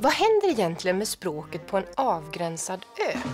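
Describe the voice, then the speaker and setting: A woman speaks with very wide pitch swings. Music plays in the background. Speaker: language researcher. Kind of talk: educational explanation. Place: studio. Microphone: lapel.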